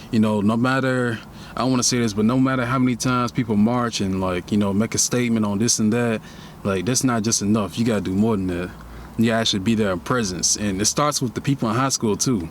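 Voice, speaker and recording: A man at a medium pitch talks at a very fast pace with fairly even intonation. Noticeable background noise is present. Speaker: podcast host. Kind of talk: casual monologue podcast. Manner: halting, repeats words.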